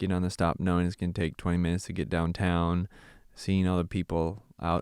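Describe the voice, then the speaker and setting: Speaking with a Californian accent at a fairly quick pace, a man has a very deep, low pitch, recorded dry and close with no echo on a very clean recording with a silent background. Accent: Californian American English. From US West, Santa Clarita, California. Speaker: missionary and former pastor. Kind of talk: casual interview.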